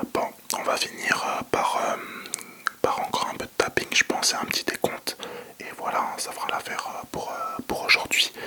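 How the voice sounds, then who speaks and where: Whispering in a relaxed tone at a moderate pace, a man leaves long, frequent pauses over noticeable background noise. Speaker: ASMR content creator. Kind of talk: ASMR whispering video addressed to viewers. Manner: whispered, relaxed, casual.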